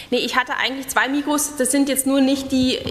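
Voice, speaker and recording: Over light background noise, a woman talks at a fairly quick pace. Room echo is audible. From East Germany. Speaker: radio journalist; conference presenter. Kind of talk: conference talk; talk; audience Q&A answer. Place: hall. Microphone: podium.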